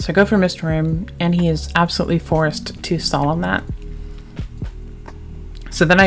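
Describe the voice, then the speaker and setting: Music in the background behind a woman speaking at a moderate pace. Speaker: card game player and content creator; game commentator. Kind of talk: casual talk to camera, gameplay commentary.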